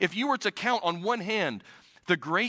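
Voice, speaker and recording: A man's raised, projected voice with a bright, sharp tone and lively intonation, at a fairly quick pace, in a dry, close sound with no echo on a very clean recording with a silent background. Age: 40s. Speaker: pastor. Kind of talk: sermon. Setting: church. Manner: halting.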